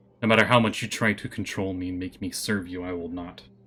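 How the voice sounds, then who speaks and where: A man puts on a growling character voice at a very deep, low pitch. He speaks at a very fast pace. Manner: aggravated, grumbling.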